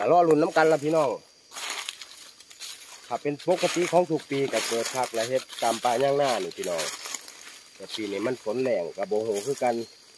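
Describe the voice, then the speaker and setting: Noticeable background noise sits behind a man whose voice has ordinary pitch variation and a dry sound with no echo. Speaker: mushroom forager vlogger. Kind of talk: casual vlog chat. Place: forest. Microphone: lapel.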